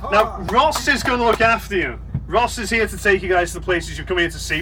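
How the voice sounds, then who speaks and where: A fairly quick-speaking man amid noticeable background noise. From Liverpool, England. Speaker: tour guide. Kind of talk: guided tour commentary. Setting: on a tour bus with passengers. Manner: animated, crowd-engaging.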